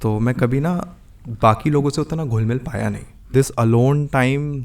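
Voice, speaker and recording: A man at medium pitch, with ordinary pitch variation. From Delhi, India (from age four). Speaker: musician. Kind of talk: podcast interview. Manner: composed, measured podcast-like delivery.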